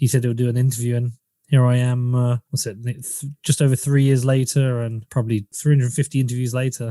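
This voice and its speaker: A man's medium-pitched voice in an English accent, dark and mellow in tone, monotone and flat, at a fairly quick pace, with a dry, close sound and no echo. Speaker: podcaster. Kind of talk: interview. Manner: casual.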